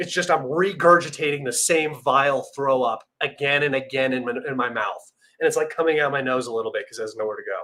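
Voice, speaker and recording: A man talks at a very fast pace in a fairly high voice. His tone is animated, bright and sharp. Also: ordinary pitch variation. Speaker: geopolitics livestream host. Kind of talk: casual livestream commentary.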